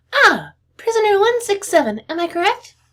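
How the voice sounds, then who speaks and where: A female-sounding put-on character voice, squeaky and extremely high in pitch, speaks at a moderate pace. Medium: read story. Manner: polite, slightly nervous.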